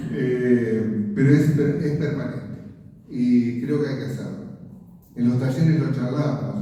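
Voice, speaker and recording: A man's medium-pitched voice at a very slow pace, fairly even in intonation, with audible room echo and noticeable background noise. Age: 70s. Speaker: author and writing workshop teacher. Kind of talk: book presentation interview. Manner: hesitant, many fillers.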